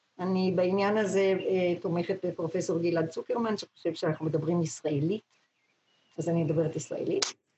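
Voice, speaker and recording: Her voice is somewhat breathy, with a dark, mellow tone and fairly low pitch, as this woman speaks at a moderate pace. Her loudness stays very even, and her intonation is fairly even. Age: old. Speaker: translator and editor of children's books. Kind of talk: interview. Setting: video call.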